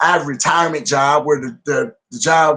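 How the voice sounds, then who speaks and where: A man with an American accent has an ordinary speaking voice at a fairly high pitch. He keeps a moderate pace with ordinary pitch variation. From US Midwest, Davenport, Iowa. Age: 50s. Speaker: wrestling promotion social media and talker. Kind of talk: casual interview chat.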